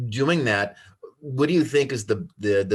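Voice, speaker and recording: The speaker talks at a moderate pace with ordinary pitch variation. The voice is somewhat breathy over a quiet background. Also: man. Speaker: talk show host. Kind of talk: casual interview. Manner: slurred enunciation.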